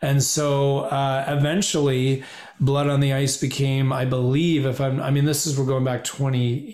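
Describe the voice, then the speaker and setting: Moderate-paced speech in a Canadian accent, with audible room echo. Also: man. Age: 50s. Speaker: podcast guest, hockey fan. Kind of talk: casual chat. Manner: animated.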